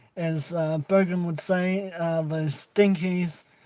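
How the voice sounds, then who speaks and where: Speaking with a New Zealand accent, a man uses a high pitch and a monotone, flat intonation. His pace is very slow. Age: 20s. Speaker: vape reviewer. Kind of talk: casual vlog chat. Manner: halting, many fillers.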